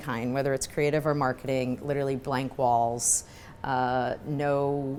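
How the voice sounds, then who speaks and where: A woman speaks in a New York accent. Her pace is fairly slow. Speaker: marketing executive. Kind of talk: fireside chat interview. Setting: live event with audience.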